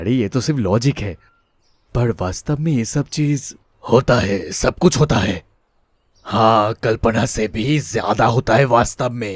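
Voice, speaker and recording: A cartoonish character voice from a man, medium-pitched with ordinary pitch variation, at a moderate pace, dry and close with no echo. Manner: earnest, uneasy.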